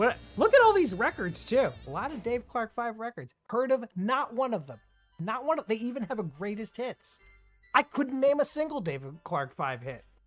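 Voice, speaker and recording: A moderate pace over music in the background. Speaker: radio show host. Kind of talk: casual radio talk show banter.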